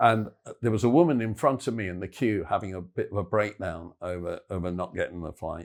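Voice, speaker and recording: A man with an English accent talks at a fairly quick pace in a fairly low voice, his pitch moving in an ordinary way while his loudness swings widely, on a very clean recording with a silent background. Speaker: football podcast co-host. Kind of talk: casual chat.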